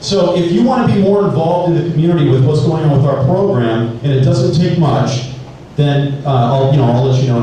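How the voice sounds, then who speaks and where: Noticeable background noise and audible room echo surround a man with an American accent. His pitch is fairly high, his pace very fast and his loudness very even. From Southern California (Temple City area). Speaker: sheriff's deputy. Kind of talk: community presentation. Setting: school meeting room with audience, videotaped. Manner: casual, animated.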